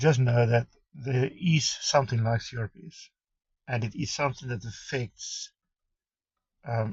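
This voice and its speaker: Somewhat breathy, fairly slow speech with a South African accent. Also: man. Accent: Afrikaans South African English. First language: Afrikaans. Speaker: vlogger sharing life with chronic pain condition. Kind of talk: personal introduction vlog. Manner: halting, with many fillers and restarts.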